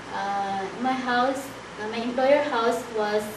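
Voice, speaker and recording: Noticeable background noise and audible room echo surround a woman speaking with a Filipino accent and fairly even intonation. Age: 30s. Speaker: domestic helper applicant. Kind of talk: job interview. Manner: halting.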